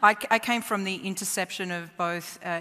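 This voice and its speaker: A woman talks with an Australian accent. Her pace is moderate and her pitch variation ordinary. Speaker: tech company founder. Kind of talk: panel discussion.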